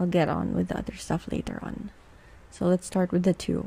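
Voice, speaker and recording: A woman is speaking. Her words carry a Filipino accent. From Philippines. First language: Tagalog. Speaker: podcast host. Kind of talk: casual monologue. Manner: code-switching English and Tagalog.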